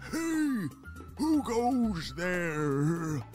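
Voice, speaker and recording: A man uses a put-on character voice pitched high for a man, with very wide pitch swings. Clear music plays in the background. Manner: calling out, suspicious.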